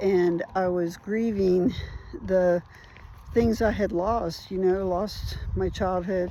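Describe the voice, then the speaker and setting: A woman's medium-pitched voice at a very slow pace, ordinary pitch variation, and audible room echo. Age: 60s. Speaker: trauma survivor sharing recovery journey. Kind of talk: personal testimony vlog. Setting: outdoors on a walk. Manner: casual, reflective.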